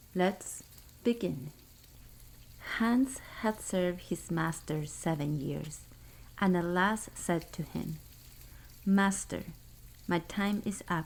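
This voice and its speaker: A soft-spoken woman at a fairly low pitch, with ordinary pitch variation, a very slow pace and long, frequent pauses. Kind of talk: bedtime story reading.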